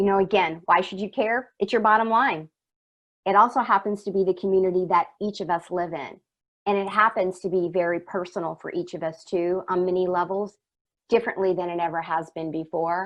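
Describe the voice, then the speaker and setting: With an ordinary speaking voice, a woman of medium pitch talks at a fairly quick pace with fairly even intonation. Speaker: workplace culture consultant. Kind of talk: webinar presentation.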